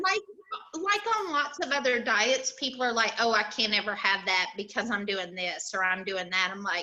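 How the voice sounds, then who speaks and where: A woman speaks at a fairly high pitch with lively intonation. Background noise is noticeable. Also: moderate pace. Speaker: school system employee, diet success story. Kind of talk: interview answer.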